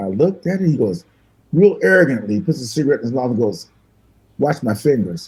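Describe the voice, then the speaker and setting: Somewhat breathy and at a medium pitch, a man talks at a very fast pace with very wide pitch swings and long, frequent pauses. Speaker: musician. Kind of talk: casual chat, storytelling. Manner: animated.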